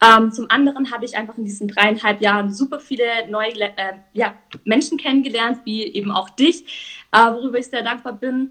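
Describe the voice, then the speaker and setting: A woman's plain, everyday voice, fairly high in pitch with ordinary variation, at a moderate pace. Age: 20s. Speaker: entrepreneur. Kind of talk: casual interview. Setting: live stream.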